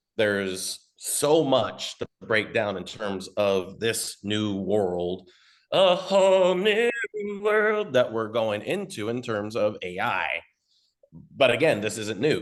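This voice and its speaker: Loud and very slow, this man talks at a medium pitch with very wide swings in his voice. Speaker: marketing consultant. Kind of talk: webinar presentation. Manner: casual, off-the-cuff.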